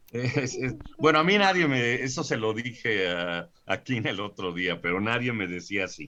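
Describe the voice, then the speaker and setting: Pitch swings very widely as the speaker goes at a fairly slow pace. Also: man, medium pitch for a man. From Mexico City area (born in Puebla, raised partly there). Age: 60s. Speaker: scientist and professor. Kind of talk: interview. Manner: halting, many fillers and repetitions.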